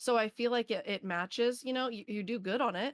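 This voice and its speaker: The recording is dry and close with no echo, and the speaker talks at a very fast pace in an animated tone. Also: woman. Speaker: streamer interviewer. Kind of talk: casual interview chat.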